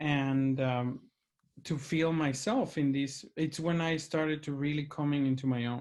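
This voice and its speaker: Recorded very cleanly with a silent background, a man with a Mexican accent speaks fairly slowly at a fairly high pitch and with fairly even intonation. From Mexico, Monterrey. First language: Spanish. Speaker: opera administrator and podcast host, former tenor. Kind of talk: casual video chat interview.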